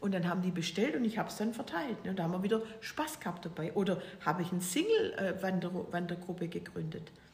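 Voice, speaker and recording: Over noticeable background noise and audible room echo, a woman talks at a very fast pace in a medium pitch with ordinary pitch variation. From Swabia, Germany (near Stuttgart). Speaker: author and entrepreneur. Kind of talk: casual interview. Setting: at her home.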